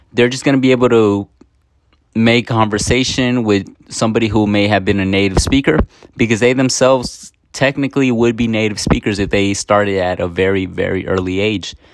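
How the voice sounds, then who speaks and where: With a Spanish accent, a man talks at a moderate pace in fairly even intonation. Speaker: student presenter. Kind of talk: prepared video presentation. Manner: hesitant, many fillers.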